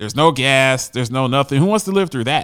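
An ordinary speaking voice from a man at medium pitch, with lively intonation, a fairly quick pace, and a very clean recording over a silent background. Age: 40s. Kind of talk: solo commentary on news articles.

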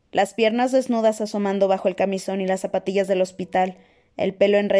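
This voice is reading aloud in a natural voice, with fairly even intonation.

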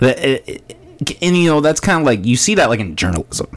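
With an American accent and vocal fry, a man's pitch swings very widely. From Iowa (Orange City). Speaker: podcast host. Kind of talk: casual chat. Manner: halting.

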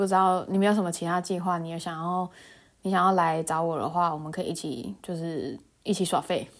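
Relaxed in tone, a woman with a fairly low pitch speaks at a fairly quick pace with fairly even intonation, on a very clean recording with a silent background. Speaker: solo podcast host. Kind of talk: casual monologue. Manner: frequent laughter, relaxed; hesitant, many fillers.

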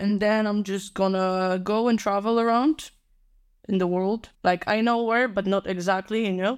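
On a very clean recording with a silent background, a woman of medium pitch talks at a moderate pace with fairly even intonation. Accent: Polish. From Poland, Warsaw. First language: Polish. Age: 20s. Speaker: university graduate. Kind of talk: casual chat.

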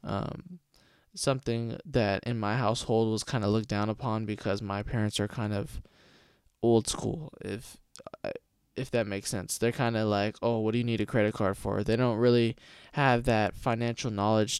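Speaking at a moderate pace, a man with a Californian accent has a fairly low pitch and fairly even intonation. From California, Stockton. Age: young. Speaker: podcast host. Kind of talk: casual monologue. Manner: halting, many fillers.

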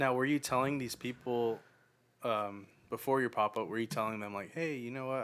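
A man speaks at a very fast pace with a bright, sharp tone. The recording is very clean and the background silent. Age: 20s. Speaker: podcast host. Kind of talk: casual chat.

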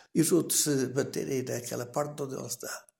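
A man talks at a medium pitch with vocal fry. His pace is fairly quick. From Portugal, Canas de Senhorim (Viseu). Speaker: retired villager sharing memories. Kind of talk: oral history interview.

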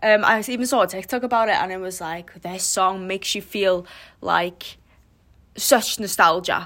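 In a very clean recording with a silent background, a woman with a North Welsh accent and a bright, sharp tone speaks at a moderate pace with big swings in loudness. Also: medium pitch for a woman, ordinary pitch variation. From North Wales. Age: 20s. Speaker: podcast host, university student. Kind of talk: casual monologue. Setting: bedroom den. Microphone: recorded before new microphone arrived.

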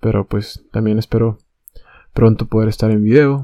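The soft-spoken voice has a dark, mellow tone and a dry, close sound with no echo. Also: man. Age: 20s. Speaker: podcaster. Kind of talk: casual monologue. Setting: bedroom at night. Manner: halting.

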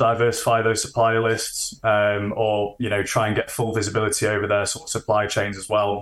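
With a Yorkshire accent, a man speaks at a medium pitch and a fairly quick pace. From Sheffield, northern England. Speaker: management consultant. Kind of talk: interview. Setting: remote call.

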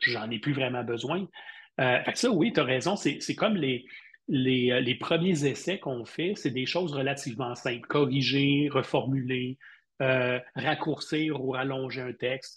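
A man with a Quebec accent talks fairly slowly and somewhat breathily at a medium pitch, his pitch varying in an ordinary way against a quiet background. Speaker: university lecturer and digital marketing expert. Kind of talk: casual interview.

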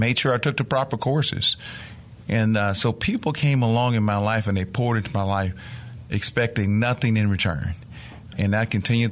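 In a Mississippi accent, a man talks at a moderate pace with a fairly low pitch and fairly even intonation. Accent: Southern US (Mississippi). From rural Mississippi, US South. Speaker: nonprofit executive. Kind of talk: interview.

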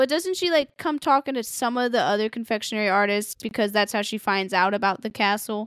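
A woman's normal speaking voice with lively intonation at a fairly quick pace and hardly any pauses, dry and close with no echo, on a very clean recording with a silent background. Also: fairly high pitch for a woman. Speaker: podcast host. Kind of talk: casual chat.

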